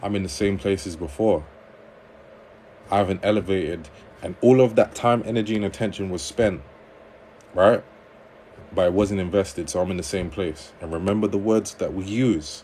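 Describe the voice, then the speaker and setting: In a London accent, a man talks at a moderate pace with long, frequent pauses. His voice sits at a fairly low pitch with ordinary pitch variation. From London, England. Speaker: livestreamer and relationship coach. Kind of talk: livestream chat reading viewer comments. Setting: TikTok livestream.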